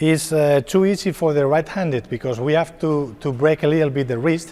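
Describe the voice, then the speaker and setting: A man with a Spanish accent speaks at a fairly quick pace, his fairly high pitch moving with ordinary variation. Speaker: padel coach. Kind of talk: tutorial. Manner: halting.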